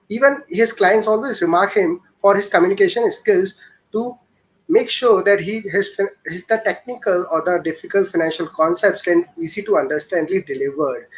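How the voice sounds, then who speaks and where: The voice carries an Indian accent. Its intonation is lively. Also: man, high pitch for a man. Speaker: show host. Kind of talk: interview. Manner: fast.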